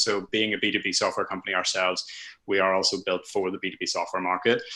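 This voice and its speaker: A very fast-paced man with a Northern Irish accent. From Northern Ireland. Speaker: content marketer. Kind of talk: webinar presentation. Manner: halting, many fillers and restarts.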